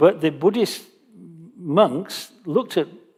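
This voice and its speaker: A man speaks in a northern English accent. His pace is fairly slow and his intonation lively. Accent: British, northern English. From northern England. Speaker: Buddhist teacher. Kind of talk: Dharma teaching Q&A.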